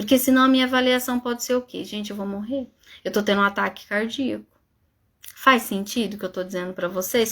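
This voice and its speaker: Fairly high-pitched, a woman speaks fairly quickly with ordinary pitch variation in a very clean recording over a silent background. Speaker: psychologist. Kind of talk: live stream talk. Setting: live stream. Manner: fast.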